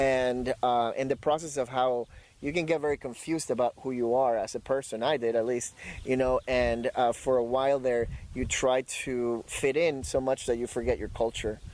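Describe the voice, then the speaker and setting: With a Spanish accent, a man at medium pitch speaks at a moderate pace in fairly even intonation. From Ecuador, Guayaquil (moved to US at 17). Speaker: dog trainer and poet. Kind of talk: interview. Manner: halting, many fillers.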